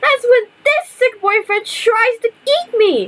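This cartoonish character voice sits at an extremely high pitch. It moves at a fairly slow pace. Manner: agitated, flustered.

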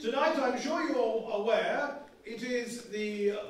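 Light background noise and strong room echo surround a man's voice. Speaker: comic and one-man play performer. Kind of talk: comic historical one-man play, stand-up style. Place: stage. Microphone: camera far.

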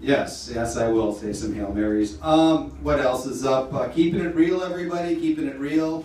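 Fairly high-pitched man with an American accent, lively intonation and a moderate pace, amid audible room echo and light background noise. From US Midwest, Wisconsin. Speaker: stand-up comedian. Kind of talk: stand-up. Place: stage.

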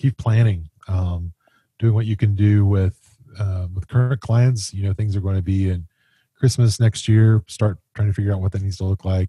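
A man with a fairly low pitch and a dark, mellow tone speaks somewhat breathily with fairly even intonation, in a dry sound with no echo over a quiet background. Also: moderate pace. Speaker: podcast co-host. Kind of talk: podcast commentary. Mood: serious, sympathetic. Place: home room. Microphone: studio mic.

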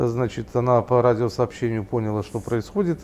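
A man's voice with a dark, mellow tone. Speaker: online news founder and interviewer; online news founder, interviewer. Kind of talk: interview. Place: cafe.

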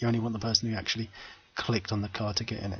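A man with a medium pitch and fairly even intonation talks at a very fast pace. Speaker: game development tutor. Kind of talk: screen-recorded coding tutorial. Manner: casual, conversational.

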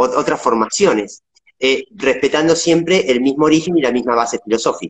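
Here a man speaks with a Rioplatense accent and lively intonation. His pace is moderate and the background is quiet. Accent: Argentine Spanish (rioplatense). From Argentina, Patagonia (Viedma). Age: 40s. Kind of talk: interview. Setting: video call. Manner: halting. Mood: calm, reflective. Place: home room.

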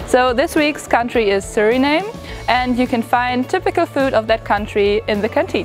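Over clear music in the background, a woman with a high pitch speaks at a moderate pace, the sound dry with no echo. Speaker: student tour guide. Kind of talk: guided tour presentation. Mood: friendly, upbeat. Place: hall.

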